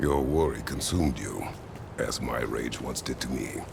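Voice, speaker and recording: Through loud background noise, a man performs in a put-on character voice. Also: moderate pace. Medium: video game. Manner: terse, measured.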